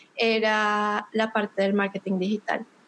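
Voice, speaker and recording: A woman with a Bogotá accent, speaking at a fairly slow pace. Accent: Bogotá Colombian. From Colombia, Bogotá. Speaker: digital marketing consultant. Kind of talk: podcast interview.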